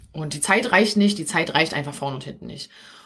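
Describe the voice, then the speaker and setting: This woman speaks with a Berlin accent. Her intonation is lively. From Berlin area, Germany. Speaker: podcast host and business coach for mothers. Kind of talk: live stream coaching talk. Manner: casual with many filler sounds.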